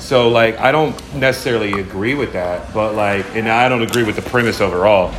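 Amid noticeable background noise and audible room echo, a man speaks at a fairly quick pace with hardly any pauses, at medium pitch with ordinary pitch variation. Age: 30s. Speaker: music producer and songwriter. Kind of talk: casual chat. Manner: filler-heavy, repetitive speech.

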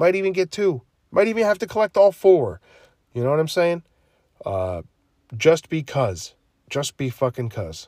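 A man speaks with a high pitch, an animated tone, lively intonation, and long, frequent pauses. The recording is very clean with a silent background. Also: dry, close sound with no echo. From New Jersey. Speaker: podcast host. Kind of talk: casual solo monologue. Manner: halting.

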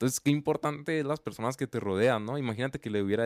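A man in an ordinary speaking voice, medium in pitch, with fairly even intonation, in a very clean, dry, close recording with no echo and a silent background. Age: 20s. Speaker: podcast host. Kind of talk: casual interview.

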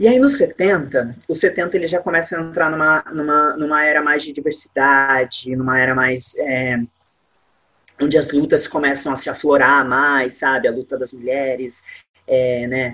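A man with an unremarkable speaking voice, fairly high pitch, fairly even intonation, and a fairly slow pace. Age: 20s. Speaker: musical theatre actor. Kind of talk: interview.

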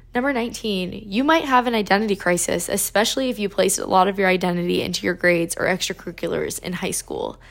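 A woman with vocal fry at a very fast pace, medium pitch, ordinary pitch variation. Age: 20s. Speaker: podcast host, recent college graduate. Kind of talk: casual solo monologue. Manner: chatty, filler-heavy.

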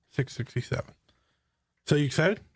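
There's a playful tone to this man's somewhat breathy voice, pitched medium. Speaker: podcast host. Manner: playful banter, interrupts.

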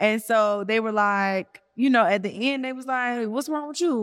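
A woman talks in an Atlanta accent at a moderate pace with ordinary pitch variation. The recording is very clean, with a silent background. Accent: Southern US, Atlanta. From Atlanta, Georgia. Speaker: podcast host. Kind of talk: casual chat.

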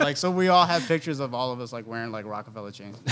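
Noticeable background noise sits behind a man who talks at a very fast pace, with a fairly high pitch and ordinary pitch variation. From Oceanside, California (moved from New Jersey/New York around high school). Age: 40s. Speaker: photographer and creative director. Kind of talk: casual chat.

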